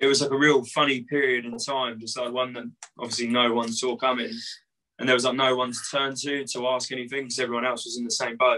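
A man speaks very fast at a medium pitch, in an English accent, against a quiet background. His tone is bright and sharp, and his intonation is monotone and flat. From England. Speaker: punk band musician; guest. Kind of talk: casual interview. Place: home room. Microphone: video call.

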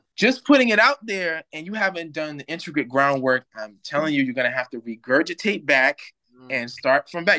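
Over a quiet background, a man talks at a fairly quick pace. His tone is bright and sharp, with lively intonation. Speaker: remote guest. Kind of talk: interview answer. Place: home room. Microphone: video call.

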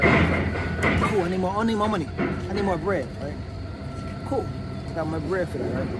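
A fairly quick pace over loud background noise, in a dry sound with no echo. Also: man. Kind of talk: casual vlog chat. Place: car. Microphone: phone near.

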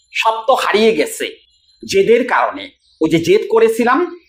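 The tone is stern. Pitch swings very widely. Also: man. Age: 40s. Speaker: counselor and video creator. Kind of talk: direct-to-camera advice talk. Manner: stern, lecturing.

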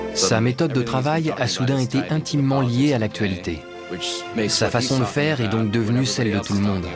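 A man speaks at a very even loudness with ordinary pitch variation while music plays in the background. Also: medium pitch for a man, moderate pace. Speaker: voice-over artist. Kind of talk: documentary dub voice-over.

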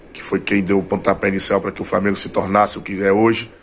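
Over light background noise, a man speaks with a monotone, flat intonation. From Bahia, Brazil (interior). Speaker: retired footballer. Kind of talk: interview. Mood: warm, grateful, nostalgic. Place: home room. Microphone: phone near.

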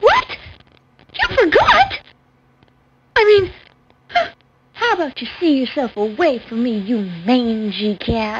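In a cartoonish character voice, a female-sounding speaker with a high pitch moves at a fairly slow pace, with very wide pitch swings and long, frequent pauses. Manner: sarcastic, dismissive.

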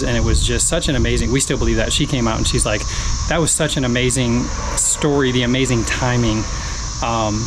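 The man's pace is very fast. Behind him, background noise is noticeable. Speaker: lawn care channel host. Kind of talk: casual vlog chat. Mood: warm, grateful. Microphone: phone near.

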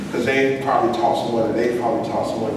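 Strong room echo and noticeable background noise surround the recording. A man speaks at a very fast pace. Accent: American. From North Carolina. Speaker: poet. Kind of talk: audience Q&A answer. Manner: casual, conversational. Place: meeting room.

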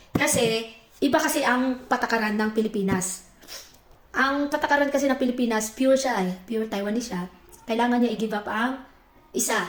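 Her voice high in pitch, a woman talks at a fairly quick pace with ordinary pitch variation. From Philippines. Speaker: vlogger. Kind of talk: casual chat.

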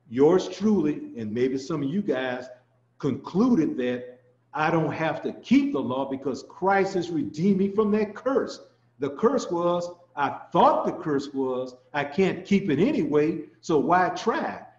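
The room echo is audible. A man talks at a fairly slow pace. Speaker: ministry teacher. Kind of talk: sermon. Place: home room. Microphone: webcam.

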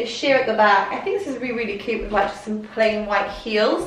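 A woman with a Welsh accent speaks at a fairly high pitch. Room echo is audible. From Wales. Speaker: fashion YouTuber. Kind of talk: clothing haul vlog. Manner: excitable. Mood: upbeat, friendly. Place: home room.

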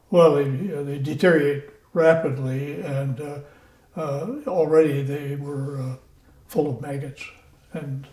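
With an American accent, a man talks at a fairly high pitch and with fairly even intonation over noticeable background noise. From Iowa, USA. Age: 90s. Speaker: WWII Marine veteran. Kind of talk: interview answer.

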